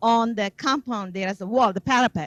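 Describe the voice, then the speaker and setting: Speaking with a Tamil accent, a woman uses lively intonation at a fairly quick pace. The sound is dry and close, with no echo. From South India. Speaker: devotee giving testimony. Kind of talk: testimony.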